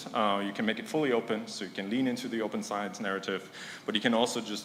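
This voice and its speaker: A man with a medium pitch talks at a fairly quick pace. Room echo is audible and background noise is noticeable. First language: not English. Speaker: conference speaker, science startup founder. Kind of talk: conference talk. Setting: stage with audience. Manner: hesitant, with fillers.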